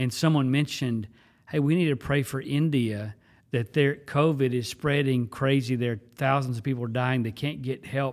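A man with an unremarkable speaking voice talks at a moderate pace and medium pitch with an American accent. His intonation is fairly even, and the recording is very clean with a silent background. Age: 50s. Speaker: pastor. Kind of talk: casual chat.

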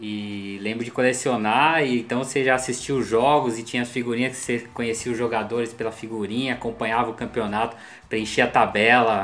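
The delivery is fairly quick with hardly any pauses. Intonation stays monotone and flat. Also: man, medium pitch for a man. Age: 40s. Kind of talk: casual chat.

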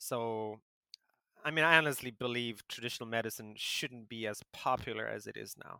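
This man talks at a moderate pace in a medium pitch, his tone bright and sharp, his intonation fairly even. Loudness swings widely, and the sound is dry and close with no echo. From South Africa. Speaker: podcast co-host. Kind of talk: casual chat.

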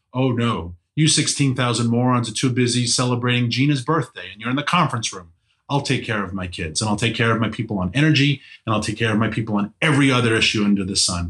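Talking at a very fast pace, a man uses a New York accent. His pitch is medium, with ordinary variation. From New York City; Queens, New York. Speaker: energy policy advocate. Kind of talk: casual interview.

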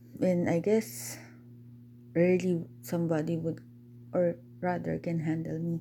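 Over noticeable background noise, a woman with a fairly low pitch and a calm tone speaks at a fairly slow pace with long, frequent pauses and ordinary pitch variation. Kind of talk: personal monologue.

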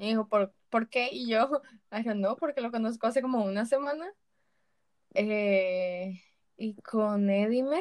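Recorded dry and close with no echo, a woman with a fairly high pitch and ordinary pitch variation speaks at a very slow pace with long, frequent pauses. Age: 20s. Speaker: podcast co-host. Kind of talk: casual chat.

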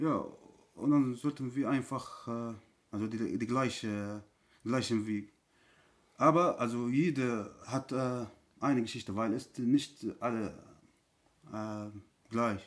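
Spoken with an Arabic accent at a very slow pace, the speech has long, frequent pauses and fairly even intonation on a very clean recording with a silent background. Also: man, medium pitch for a man. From Syria. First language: Arabic (speaking German). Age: 30s. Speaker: refugee. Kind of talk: testimony. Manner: halting.

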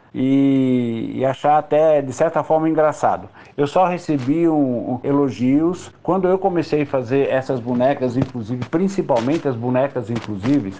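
A man's fairly high voice shows ordinary pitch variation while he keeps a moderate tempo. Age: 60s. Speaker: craftsman. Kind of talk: interview. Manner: halting.

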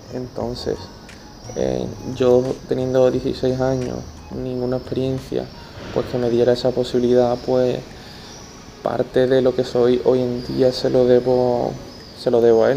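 A flat, monotone voice at a fairly slow pace, with long, frequent pauses, audible room echo and noticeable background noise. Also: man, medium pitch for a man. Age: 20s. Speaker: podcaster and club communications intern. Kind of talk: personal monologue. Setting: stadium stands. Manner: halting, frequent repetitions. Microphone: poor audio quality, recorded outside home.

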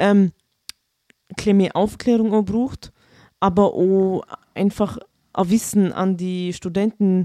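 A woman with a Vorarlberg accent speaks at medium pitch in a dark, mellow tone, with fairly even intonation. The recording is very clean, with a silent background and a dry, close sound with no echo. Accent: Vorarlberg Alemannic German dialect. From Vorarlberg, Austria. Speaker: school social worker. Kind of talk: casual chat.

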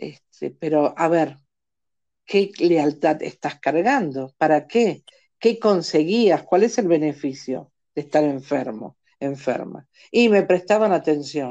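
A woman speaks very slowly in a very deep, low voice with a dark, mellow tone and lively intonation. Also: quiet background. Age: 60s. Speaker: singing teacher and motivational coach. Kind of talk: podcast interview.

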